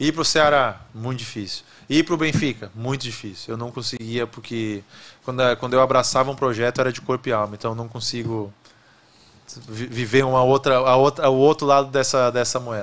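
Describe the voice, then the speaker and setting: A man talks at a fairly quick pace and a medium pitch. His is an unremarkable speaking voice. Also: fairly even intonation. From Rio Grande do Sul, Brazil. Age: 30s. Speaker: former goalkeeper, football executive; podcast guest. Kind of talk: interview conversation. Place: studio. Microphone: studio mic.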